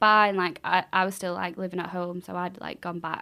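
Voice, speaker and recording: Speaking at a fairly quick pace, a woman with a Mancunian accent has a fairly low pitch and a bright, sharp tone. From Manchester. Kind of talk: casual podcast conversation. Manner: energetic.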